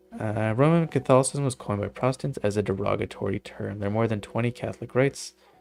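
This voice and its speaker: With music in the background, a man with a Canadian accent speaks at a fairly quick pace in a fairly low pitch with ordinary variation. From Canada. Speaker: video game streamer. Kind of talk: casual chat. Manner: halting.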